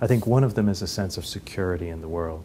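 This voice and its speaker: A man with a Dublin accent, very deep and low in pitch, dark and mellow in tone, somewhat breathy, at a very fast pace. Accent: Dublin Irish. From Ireland, Dublin. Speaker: economist and philanthropist. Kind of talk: interview. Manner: halting, with frequent fillers and repeats.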